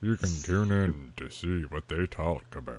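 A put-on character voice from a man, pitched very deep and low. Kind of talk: trailer-style narration.

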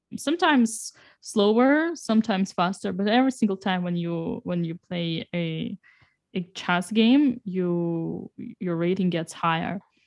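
A woman with a Russian accent, speaking fairly slowly with lively intonation. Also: medium pitch for a woman. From Russia, Saint Petersburg. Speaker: chess grandmaster and streamer. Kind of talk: casual interview. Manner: halting, many fillers.

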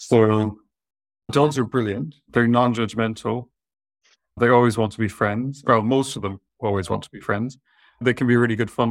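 The speech comes in a southwest Irish accent at a moderate pace. Intonation is fairly even, with long, frequent pauses. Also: man, medium pitch for a man. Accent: Irish, southwest Irish lilt. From southwest Ireland. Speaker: vet and talent manager. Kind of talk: casual interview chat. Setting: video call webinar.

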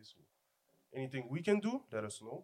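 Fairly even intonation marks this man's speech. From Montreal-Nord, Quebec. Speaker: podcast host. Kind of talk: casual chat.

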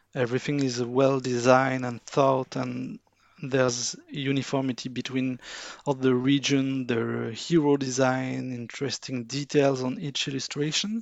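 A man with a French accent speaks at a medium pitch. His pace is fairly slow and his intonation fairly even. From France. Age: 40s. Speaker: artwork analyst and card game fan. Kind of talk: casual interview. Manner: halting, many fillers.

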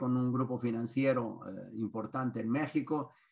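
At a fairly slow pace, a man talks in a normal speaking voice with medium pitch. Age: 60s. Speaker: business consultant and author. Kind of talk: webinar lecture.

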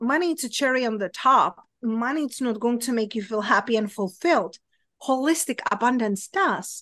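Against a quiet background, a woman with a Czech accent speaks at a moderate pace in a high voice that swings very widely in pitch. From Czech Republic. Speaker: abundance coach. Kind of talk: casual interview chat. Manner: chatty, many fillers.

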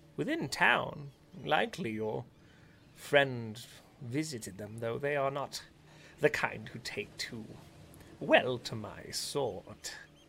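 Over clear background noise, a man in a put-on character voice speaks at a medium pitch and a fairly slow pace, with long, frequent pauses. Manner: polite, guarded.

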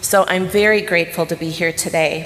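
Against noticeable background noise, a woman talks at a moderate pace in a fairly low pitch with fairly even intonation. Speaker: missionary. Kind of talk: sermon. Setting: church.

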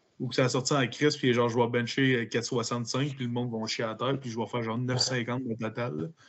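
At a moderate pace and with hardly any pauses, a man talks in a medium pitch with fairly even intonation. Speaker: powerlifter. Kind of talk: casual chat.

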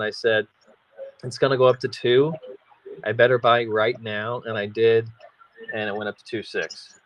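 The man speaks at a moderate pace with a medium pitch and monotone, flat intonation. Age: 40s. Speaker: crypto podcast co-host, real estate investor. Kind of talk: casual chat.

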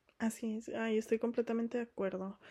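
A woman talks in a high voice with a dark, mellow tone and fairly even intonation. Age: 20s. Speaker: podcast co-host. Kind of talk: casual chat.

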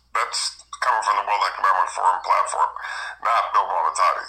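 With music in the background, a man talks at a fairly quick pace in a monotone, flat intonation. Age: 60s. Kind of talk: casual chat.

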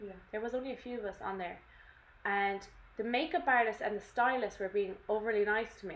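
Fairly quick and fairly high, a woman talks with an Irish accent and ordinary pitch variation. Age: 20s. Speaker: podcast co-host. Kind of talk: casual chat. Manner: animated.

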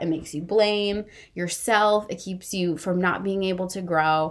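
On a very clean recording with a silent background, a woman of medium pitch speaks with ordinary pitch variation in a plain, everyday voice. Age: 30s. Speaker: podcast host. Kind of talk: solo monologue podcast.

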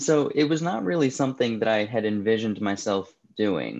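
Fairly quick and fairly low-pitched, a man with an American accent talks in an ordinary speaking voice, with ordinary pitch variation, over a quiet background. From New Jersey. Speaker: food delivery business founder. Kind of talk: interview.

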